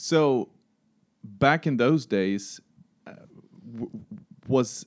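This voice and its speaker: In a very clean recording with a silent background, a man with a Swedish accent speaks with lively intonation in a dry, close sound with no echo. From Sweden. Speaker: podcast host, risk consultant. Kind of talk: interview. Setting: in-person at an office.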